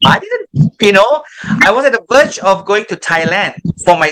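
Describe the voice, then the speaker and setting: A man speaks in a raised, projected voice, high in pitch, with lively intonation. His pace is moderate and the sound is dry and close with no echo. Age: 50s. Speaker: ex-transgender pastor. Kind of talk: testimony.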